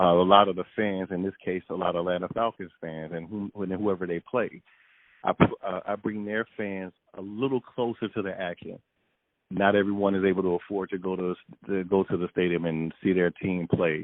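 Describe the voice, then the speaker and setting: Very deep and low in pitch, a man speaks with an American accent. He keeps a moderate pace and fairly even intonation. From US Midwest, Chicago. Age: 40s. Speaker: sports photographer. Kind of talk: interview. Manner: halting, many repeats and fillers.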